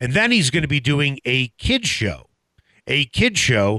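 His voice has a bright, sharp tone and vocal fry. The man's pitch swings very widely. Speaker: radio host. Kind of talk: casual sports radio talk. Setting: studio.

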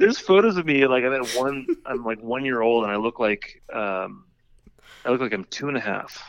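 Here is a man with an American accent and an unremarkable speaking voice. He speaks fairly quickly at a medium pitch with ordinary pitch variation. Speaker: cartoonist and podcaster. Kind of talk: casual chat.

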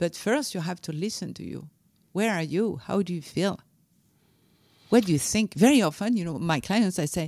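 A woman's fairly low voice with lively intonation at a moderate pace, on a very clean recording with a silent background. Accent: French. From France. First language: French. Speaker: leadership coach and author. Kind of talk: interview. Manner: halting.

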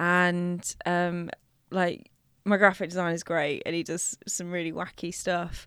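In a very clean recording with a silent background, a woman speaks very slowly in a fairly low, monotone voice. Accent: London. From North West London. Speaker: drinks company founder. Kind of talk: casual chat.

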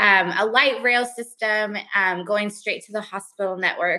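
A woman with an American accent, fairly slow, in a bright, sharp tone. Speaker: bank relations officer. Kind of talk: panel discussion.

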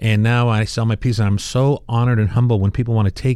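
Fairly quick male speech in a normal speaking voice at a medium pitch. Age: 50s. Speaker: artist and product inventor. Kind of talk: interview.

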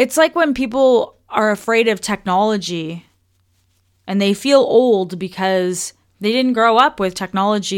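A woman with a Canadian accent at a medium pitch, ordinary pitch variation and moderate pace, on a very clean recording with a silent background. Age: 30s. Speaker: podcast host, wellness coach. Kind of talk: casual solo podcast talk. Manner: animated.

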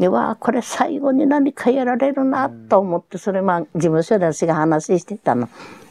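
A woman talks with very wide pitch swings and hardly any pauses. Noticeable background noise is present. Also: medium pitch for a woman, moderate pace, dry, close sound with no echo. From Japan, Hiroshima. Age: 90s. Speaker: atomic bomb survivor. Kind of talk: testimony. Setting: at home.

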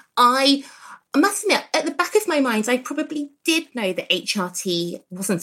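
A woman speaks with an English accent. Her pitch swings very widely. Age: 30s. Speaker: gynaecologist. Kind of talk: casual chat.

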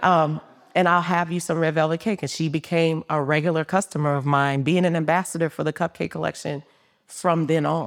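On a very clean recording with a silent background, a woman with a very deep, low pitch talks at a fairly quick pace in a monotone, flat voice. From New Orleans, Louisiana. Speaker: business founder. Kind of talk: live interview. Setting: stage with live audience.

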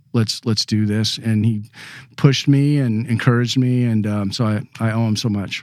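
Fairly even intonation from a medium-pitched man, moderately paced. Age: 50s. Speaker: call and decoy collector. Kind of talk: casual interview. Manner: halting, hesitant.

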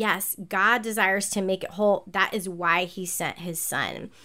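With an American accent, a woman speaks at a fairly slow pace in a medium pitch and monotone, flat intonation, on a very clean recording with a silent background. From US South, North Carolina (Charlotte). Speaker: pastor and author. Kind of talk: interview conversation.

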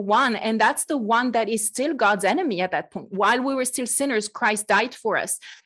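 Against a quiet background, a woman with a French accent and a fairly high voice talks at a moderate pace with ordinary pitch variation. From France. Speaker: podcast host and Bible teacher. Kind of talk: casual chat.

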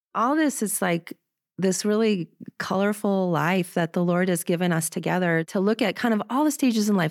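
A woman with an American accent has a normal speaking voice at a medium pitch. She talks at a moderate pace with lively intonation, and the sound is dry and close with no echo. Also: very clean recording, silent background. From Minnesota, US Midwest. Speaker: missionary. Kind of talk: interview.

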